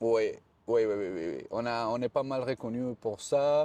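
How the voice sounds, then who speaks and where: Recorded with a dry, close sound and no echo, a man with a Spanish accent speaks fairly slowly in a dark, mellow tone with ordinary pitch variation. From Colombia. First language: Spanish (speaking French). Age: 40s. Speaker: fitness and hydration specialist. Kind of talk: interview. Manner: halting, with repetitions.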